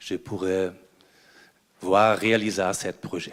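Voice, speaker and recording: A man with a German accent talks at a very slow pace. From Germany. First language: German (speaking French). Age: 60s. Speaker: ambassador, audience member asking a question. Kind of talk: audience question at a conference debate. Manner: halting, with hesitations.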